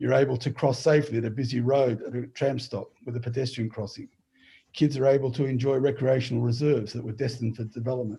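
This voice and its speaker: A man speaks at a very fast pace in a dark, mellow, somewhat breathy tone, medium in pitch and monotone, flat in intonation. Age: 60s. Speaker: council candidate. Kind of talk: closing statement. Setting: video call.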